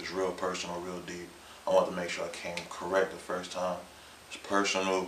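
A man's very deep, low voice, monotone and flat, at a fairly quick pace, with audible room echo and light background noise. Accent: South Carolina. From Irmo, Columbia, South Carolina. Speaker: rapper. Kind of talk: interview. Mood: relaxed, sincere. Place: studio.

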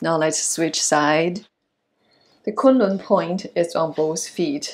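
Speaking at a very slow pace with a non-native accent, a woman uses a fairly low pitch with ordinary pitch variation. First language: not English. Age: 60s. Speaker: yoga and qigong instructor. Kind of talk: self-care tutorial instruction. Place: home room.

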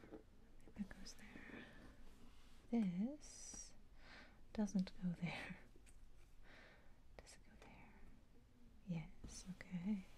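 Whispering at a very slow pace, the speaker leaves long, frequent pauses. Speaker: ASMR creator. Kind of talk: soft-spoken ASMR, casual talk while doing a puzzle. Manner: soft-spoken. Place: home room.

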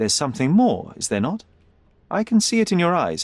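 A man's put-on character voice, fairly high in pitch with very wide swings, on a very clean recording with a silent background. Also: moderate pace.

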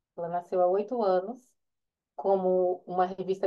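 A woman speaks against a quiet background. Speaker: data journalism manager. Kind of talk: presentation. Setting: video call. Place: home room. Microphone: earbuds.

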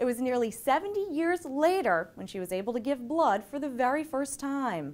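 Speaking at a moderate pace, a woman with a high pitch makes very wide pitch swings. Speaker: TV feature presenter. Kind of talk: news feature narration. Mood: warm, upbeat. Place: home room.

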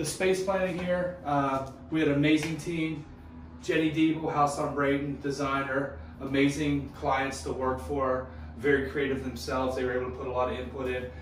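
The speech moves at a moderate pace with ordinary pitch variation, carrying audible room echo and light background noise. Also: man. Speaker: remodeling contractor. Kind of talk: walkthrough tour commentary. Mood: proud, enthusiastic. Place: bathroom.

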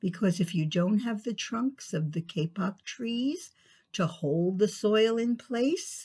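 The clip features a natural reading voice.

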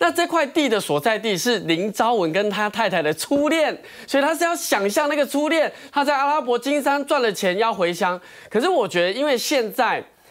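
At a moderate pace, a man talks with a quiet background. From Taiwan. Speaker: talk show commentator. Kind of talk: TV panel discussion. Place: studio. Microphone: lapel.

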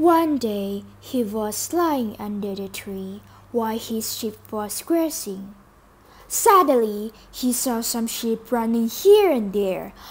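A woman speaks at a slow pace with lively intonation. Her fairly high voice has a slightly husky edge.

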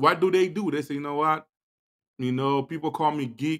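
A man's bright, sharp tone over a quiet background. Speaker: podcast host. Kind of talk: motivational talk show monologue.

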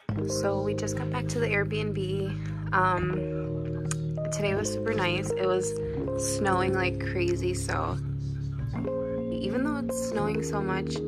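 Over loud background music, a woman speaks at a fairly slow pace with long, frequent pauses. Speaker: travel vlogger. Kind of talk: casual vlog chat. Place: home room. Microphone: phone near.

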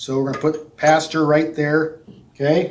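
Speaking at a moderate pace, a man delivers his lines. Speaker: children's church teacher. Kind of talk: object lesson for children. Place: classroom.

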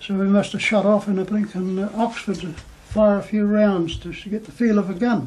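A high-pitched man speaks at a moderate pace with fairly even intonation. His loudness swings widely. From New Zealand. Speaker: war veteran. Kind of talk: interview answer. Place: home room.

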